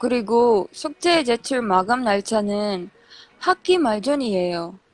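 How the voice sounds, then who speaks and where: A woman speaks at a very slow pace, her fairly high voice full of lively intonation. The sound is dry and close, with no echo. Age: 20s. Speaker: university student. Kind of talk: casual podcast chat.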